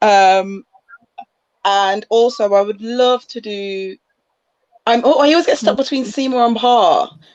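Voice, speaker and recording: A woman with a Leicester accent, fairly high in pitch, at a fairly slow pace with ordinary pitch variation and long, frequent pauses. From Leicester, England. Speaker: musical theatre performer. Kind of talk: casual chat.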